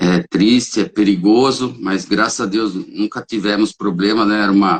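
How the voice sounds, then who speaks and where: This man speaks at a moderate pace with a fairly low pitch and ordinary pitch variation. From São Paulo state, Brazil (Caieiras). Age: 60s. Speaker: holistic therapist and reiki practitioner. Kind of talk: interview. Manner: hesitant, with frequent fillers.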